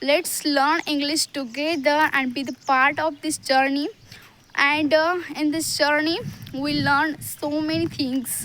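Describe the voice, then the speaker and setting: With an Indian accent, a woman talks at a very slow pace in a high pitch, keeping her intonation fairly even. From Maharashtra, India. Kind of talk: casual talk to camera. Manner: hesitant, many fillers.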